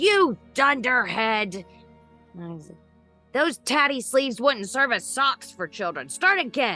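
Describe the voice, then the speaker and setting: A raspy, put-on character voice at a fairly slow pace, with long, frequent pauses and faint music in the background. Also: female-sounding voice, high pitch for a woman. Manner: scolding, irritable.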